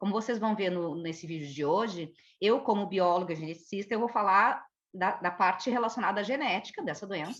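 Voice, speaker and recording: A woman with a southern Brazilian accent, medium in pitch, fairly quick in pace, with ordinary pitch variation. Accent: Porto Alegre (gaúcho). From southern Brazil, Porto Alegre. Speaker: geneticist, biologist. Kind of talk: educational conversation.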